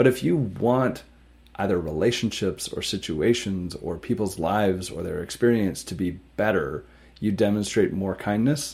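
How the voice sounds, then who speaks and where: This is an unremarkable speaking voice from a man, fairly low in pitch. He talks at a moderate pace with ordinary pitch variation. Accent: Canadian. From Canada, small town. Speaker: tech startup co-founder and CTO. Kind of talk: interview.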